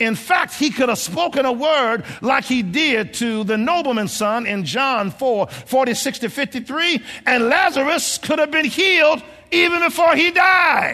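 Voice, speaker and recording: Over music in the background, a man with an extremely high pitch talks in a raised, projected voice with lively intonation. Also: fairly slow pace. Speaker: preacher. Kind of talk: sermon. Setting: church.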